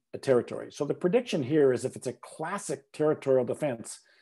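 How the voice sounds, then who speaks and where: A man with a Canadian accent speaks in a dark, mellow tone. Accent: Canadian, self-described. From Canada. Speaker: ornithologist, biology professor. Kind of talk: lecture. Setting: video call.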